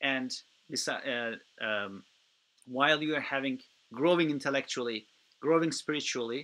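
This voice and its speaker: With a Turkish accent, a man at a fairly high pitch speaks at a moderate pace in a bright, sharp tone, with long, frequent pauses. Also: ordinary pitch variation. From Turkey. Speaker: youth program organizer. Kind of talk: webinar Q&A. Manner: halting, many fillers.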